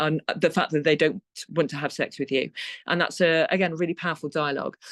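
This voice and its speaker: A woman speaks at a very fast pace in a very deep, low pitch with fairly even intonation. The sound is dry and close, with no echo. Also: quiet background. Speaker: secondary school teacher and education consultant. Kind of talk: webinar presentation. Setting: online webinar.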